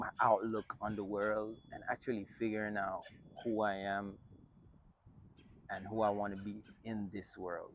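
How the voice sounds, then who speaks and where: In a Jamaican accent, a man speaks at a fairly low pitch with monotone, flat intonation. Long, frequent pauses break up his speech. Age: 20s. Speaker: filmmaker and content creator. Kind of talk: personal vlog monologue. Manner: casual, many fillers.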